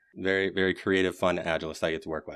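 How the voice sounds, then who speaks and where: A man with an American accent talks in a very deep, low voice. The background is quiet. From Michigan, US. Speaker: podcast host, agile coach. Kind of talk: podcast interview.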